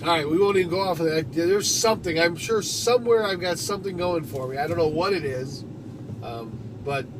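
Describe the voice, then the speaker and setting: A man with a high pitch speaks at a moderate pace. There is noticeable background noise and audible room echo. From Detroit, US Midwest. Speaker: live streamer. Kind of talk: casual live stream chat. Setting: live stream. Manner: frequent um and uh fillers; casual, not strongly enunciated.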